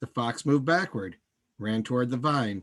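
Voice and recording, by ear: The pitch moves in an ordinary way while someone reads aloud in a natural voice. All around is quiet.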